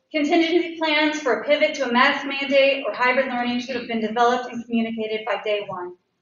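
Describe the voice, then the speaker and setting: In a room with audible echo, a woman talks at a fairly quick pace and a high pitch, with ordinary pitch variation. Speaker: parent giving public comment. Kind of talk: public comment at school board meeting. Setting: public meeting. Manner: unsteady voice. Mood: frustrated but respectful. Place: hall.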